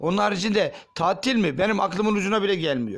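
A man does the talking. The variation in his pitch is ordinary. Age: 40s. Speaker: factory worker. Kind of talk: street interview testimony.

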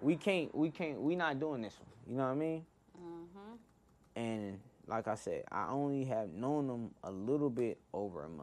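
A man speaks with lively intonation at a fairly high pitch. His pace is moderate. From Inglewood, California. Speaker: music producer and podcast host. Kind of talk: casual storytelling. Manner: casual, slangy with frequent fillers.

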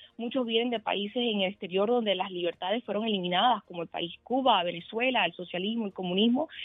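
A woman talks fairly quickly with lively intonation while noticeable background noise plays. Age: 20s. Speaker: political candidate. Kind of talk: interview.

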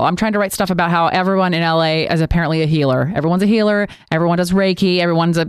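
Words come at a very fast pace in an animated tone. The recording is very clean, with a silent background. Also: woman. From San Francisco Bay Area. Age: 40s. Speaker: radio DJ and stand-up comedian. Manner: fast, animated talker.

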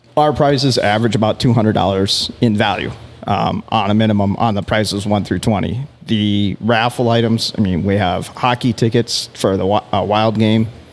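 In an American accent, a man with a fairly low pitch talks at a moderate pace with fairly even intonation and very even loudness over noticeable background noise. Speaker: fishing bait company executive. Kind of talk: casual chat.

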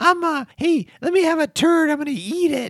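A high, put-on character voice moves at a fairly slow pace.

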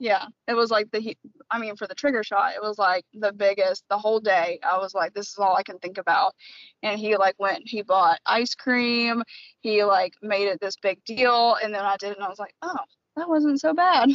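In a plain, everyday voice, a woman with an American accent talks at a moderate pace, her fairly high pitch showing ordinary pitch variation. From US South, small-town Tennessee. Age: 30s. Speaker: podcast guest, fertility patient. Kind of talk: personal testimony.

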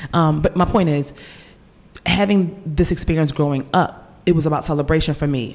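With a Philadelphia accent, a woman speaks with ordinary pitch variation. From US, Philadelphia. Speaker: author. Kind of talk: casual interview.

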